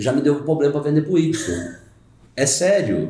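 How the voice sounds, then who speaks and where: The speaker talks at a very fast pace in a dark, mellow, somewhat breathy tone, with audible room echo. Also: man. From Brazil, rural Caldas, Minas Gerais. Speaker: carpenter and brewer, youtuber. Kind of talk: casual chat.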